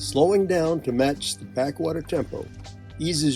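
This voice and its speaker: With music in the background, a man talks using lively intonation. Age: 80s+. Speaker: senior camping vlogger. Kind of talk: travel vlog narration.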